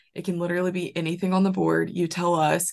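A woman with a Southern US accent and a fairly low pitch talks at a fairly quick pace against a quiet background. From Alabama. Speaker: podcast host. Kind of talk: casual chat. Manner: animated.

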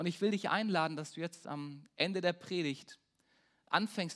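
Using fairly even intonation, a man talks at a moderate pace in a high pitch. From Baden-Württemberg. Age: 20s. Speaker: pastor. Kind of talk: sermon. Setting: church.

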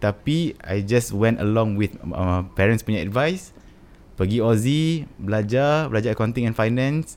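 A man's medium-pitched, plain, everyday voice, fairly slow in pace, with lively intonation. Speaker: musician. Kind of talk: casual interview chat.

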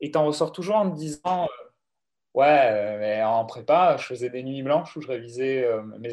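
This is an ordinary speaking voice at a fairly slow pace. The intonation is lively. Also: man. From southern France, Aubagne near Marseille. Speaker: data science manager. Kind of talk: interview.

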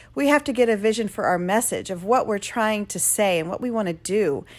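On a very clean recording with a silent background, a woman talks at a fairly quick pace. Her fairly high voice carries lively intonation. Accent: American. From US Midwest, northeast Ohio. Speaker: podcast host. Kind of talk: solo podcast talk, motivational.

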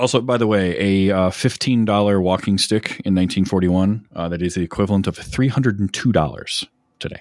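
At a fairly quick pace, a man speaks in a fairly low pitch with ordinary pitch variation and an unremarkable speaking voice. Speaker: podcast co-host. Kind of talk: casual chat.

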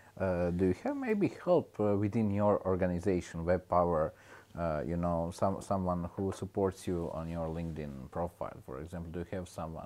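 Speaking in a very deep, low pitch, a man with a Croatian accent has a dark, mellow tone and fairly even intonation. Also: moderate pace. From Croatia, Split. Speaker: podcast host. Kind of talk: interview. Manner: halting.

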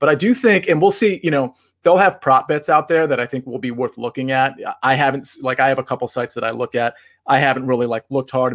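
A man talks at a very fast pace at medium pitch with ordinary pitch variation, the sound dry and close with no echo. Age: 20s. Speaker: sports betting analyst and co-host. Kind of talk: casual chat.

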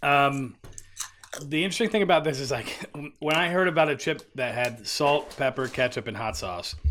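Pitched fairly high, a man with a plain, everyday voice speaks at a moderate pace with lively intonation. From Philadelphia. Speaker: podcast co-host. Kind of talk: casual chat. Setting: studio.

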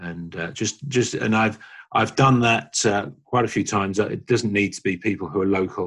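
In a London accent, a man talks at a moderate pace with a fairly low pitch and ordinary pitch variation. The recording is very clean, with a silent background. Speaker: church small-group leader. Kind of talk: interview.

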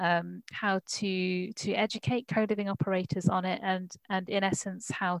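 A woman speaks at a medium pitch in a plain, everyday voice, with a dry, close sound and no echo. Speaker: co-living researcher. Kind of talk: audience question. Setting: video call.

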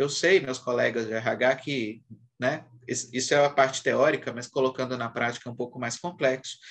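A man with a plain, everyday voice at medium pitch, moderate pace and fairly even intonation. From Brazil, Minas Gerais. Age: 40s. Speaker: HR executive. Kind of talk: interview.

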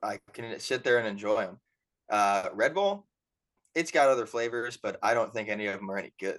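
A man with an unremarkable speaking voice at medium pitch, lively intonation and a fairly quick pace. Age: 20s. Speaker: podcast co-host, college student. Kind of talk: casual chat.

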